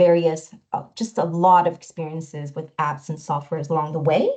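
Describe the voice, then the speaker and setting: Speaking at a moderate pace, a woman has a normal speaking voice with a Canadian accent. Her pitch is fairly low and her intonation fairly even. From Canada (moved from Taiwan at 10). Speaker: product strategist. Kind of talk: webinar presentation.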